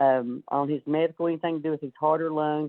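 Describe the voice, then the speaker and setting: A woman with an Appalachian accent speaks at a moderate pace. Her voice is very deep and low. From southwest Virginia, Appalachia. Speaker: miner's wife, association vice president. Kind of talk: press conference speech.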